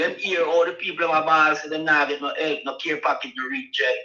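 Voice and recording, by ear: Fairly quick and fairly high in pitch, a man's bright, sharp tone shows little pitch movement amid audible room echo.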